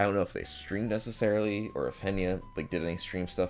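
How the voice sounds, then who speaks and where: Music plays in the background as a man talks at a very fast pace. His voice is fairly low and monotone, with flat intonation. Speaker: YouTube clipper and streamer. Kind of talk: casual livestream chat.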